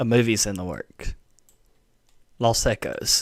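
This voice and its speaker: Heard on a very clean recording with a silent background, a man speaks at medium pitch in a Southern US accent with ordinary pitch variation. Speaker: gaming and anime streamer. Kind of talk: live stream chat. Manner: casual, halting with fillers.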